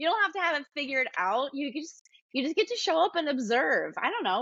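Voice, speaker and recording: Loud and very fast, a woman with an American accent talks with very wide pitch swings. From US South, Atlanta area. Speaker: yoga teacher and studio owner. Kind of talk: casual interview chat. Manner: exuberant, animated.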